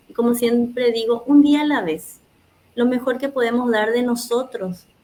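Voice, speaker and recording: A dark, mellow tone with a Paraguayan accent and fairly even intonation. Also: woman, high pitch for a woman, moderate pace. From Paraguay, Asunción. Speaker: oral storyteller. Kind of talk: interview closing message.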